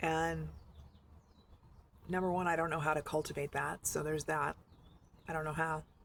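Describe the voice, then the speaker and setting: The delivery is monotone and flat at a moderate pace, with long, frequent pauses. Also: woman, very deep, low pitch for a woman. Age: 50s. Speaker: vlogger. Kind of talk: casual video diary monologue. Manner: halting.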